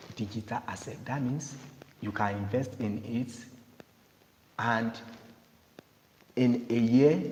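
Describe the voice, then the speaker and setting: A man at medium pitch, very slow and fairly even in intonation, with long, frequent pauses. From Nigeria. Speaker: cryptocurrency promoter. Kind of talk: sales pitch.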